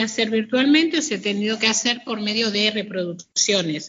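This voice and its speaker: Fairly high pitch and ordinary pitch variation in a woman's voice. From Argentina, Greater Buenos Aires (Hurlingham). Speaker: painter and gallery owner. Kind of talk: interview. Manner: hesitant, many fillers.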